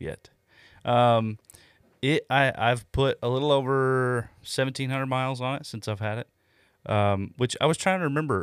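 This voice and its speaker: In a very clean recording with a silent background, a man talks at a moderate pace in a normal speaking voice, his pitch medium with ordinary variation and the sound dry and close with no echo. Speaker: car podcast co-host. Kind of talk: casual banter, joking along with the infomercial bit. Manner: playful, jokey.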